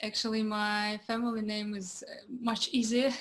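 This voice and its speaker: A woman speaks in a Russian accent at a moderate pace. Her fairly high-pitched delivery is monotone and flat. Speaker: entrepreneur and dancer. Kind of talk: interview. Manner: halting.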